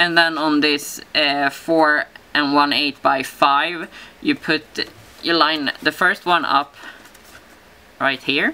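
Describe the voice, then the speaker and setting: A woman with a non-native accent speaks at a very slow pace in a very deep, low pitch, with long, frequent pauses. Her intonation is monotone and flat, her loudness very even, and noticeable background noise sits underneath. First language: not English. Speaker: papercraft tutorial maker. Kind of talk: tutorial. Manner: halting, many fillers.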